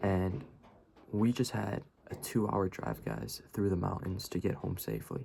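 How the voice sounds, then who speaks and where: A man talks at a fairly slow pace in a very deep, low voice that is dark and mellow, with vocal fry. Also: lively intonation. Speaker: vlogger. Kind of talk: casual late-night vlog storytelling. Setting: on vacation in the mountains at night. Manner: hesitant, many fillers.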